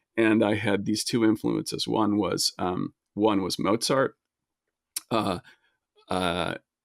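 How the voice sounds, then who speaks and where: A man with an American accent speaks at a very slow pace in a fairly low pitch, with vocal fry, fairly even intonation and long, frequent pauses. The sound is dry and close with no echo, on a very clean recording with a silent background. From US, early childhood in Switzerland. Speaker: video game composer. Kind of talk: casual interview conversation. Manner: halting, many fillers and repeats.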